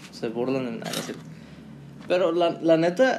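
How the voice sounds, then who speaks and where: Over noticeable background noise, a man with a fairly high pitch speaks at a moderate pace using lively intonation. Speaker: podcast co-host, marketing student. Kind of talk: casual chat.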